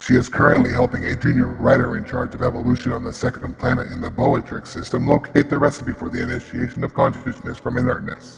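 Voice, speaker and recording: A robotic, put-on character voice at a very fast pace with hardly any pauses and a slight echo. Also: man, medium pitch for a man. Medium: audio drama. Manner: repetitive, flat, mechanical.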